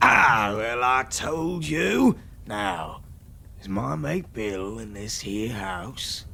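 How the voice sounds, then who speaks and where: Putting on a character voice, a man speaks at a very slow pace in a raspy, fairly low pitch, with clear background noise. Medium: audio drama. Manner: wheedling sailor talk, dialect phrasing.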